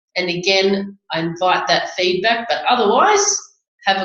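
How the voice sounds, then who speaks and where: A woman with an Australian accent speaks at a fairly slow pace in a medium pitch, with ordinary pitch variation and audible room echo. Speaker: family lawyer, webinar host. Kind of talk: webinar presentation. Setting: online webinar.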